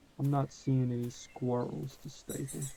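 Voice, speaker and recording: Noticeable background noise accompanies a voice with an American accent. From US South. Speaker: gaming youtuber. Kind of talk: gameplay commentary. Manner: casual, animated.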